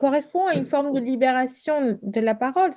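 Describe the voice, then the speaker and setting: With a dark, mellow tone, a woman speaks at a moderate pace and with ordinary pitch variation. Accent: Spanish. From Argentina. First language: Spanish (speaking French). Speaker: novelist. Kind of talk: author interview with students. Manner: halting, many repetitions and hesitations.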